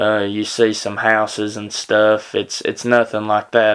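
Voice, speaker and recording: A man with a Tennessee accent speaks at a moderate pace in a fairly low pitch. The recording is very clean, with a silent background. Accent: Southern US (Tennessee). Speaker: podcast host. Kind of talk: casual storytelling monologue. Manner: halting, many fillers.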